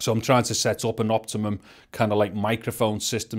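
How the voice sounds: A man at fairly low pitch and a fairly quick pace, slightly mellow in tone, on a very clean recording with a silent background.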